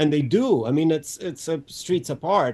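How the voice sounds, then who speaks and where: The speaker has a dark, mellow tone, ordinary pitch variation and a moderate pace. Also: man. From Romania. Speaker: screenwriter. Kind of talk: interview. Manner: halting, many repetitions and fillers.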